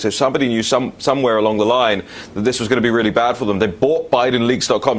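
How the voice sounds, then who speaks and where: A man speaks with a London accent. There is noticeable background noise. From London, England. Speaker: political talk show host. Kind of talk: political talk show. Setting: studio.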